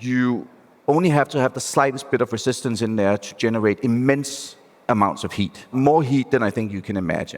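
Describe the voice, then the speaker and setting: A man with a Danish accent, at a fairly quick pace. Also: medium pitch for a man, ordinary pitch variation. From Denmark. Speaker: venture capital investor. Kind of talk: panel discussion. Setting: stage with live audience.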